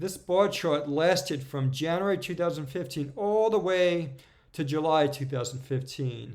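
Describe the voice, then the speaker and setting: A man uses an ordinary speaking voice at a moderate pace, with ordinary pitch variation. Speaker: crypto market analyst YouTuber. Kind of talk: tutorial.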